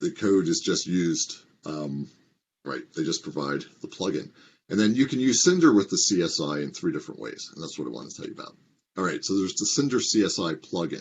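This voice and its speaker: His loudness swings a great deal as the man talks fairly quickly. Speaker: open source project lead. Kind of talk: recorded conference talk. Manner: fast.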